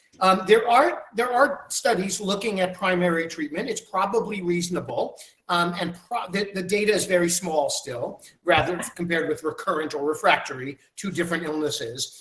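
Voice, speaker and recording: Pitched high, a man with an American accent speaks with ordinary pitch variation. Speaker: physician. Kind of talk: webinar Q&A answer. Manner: fast.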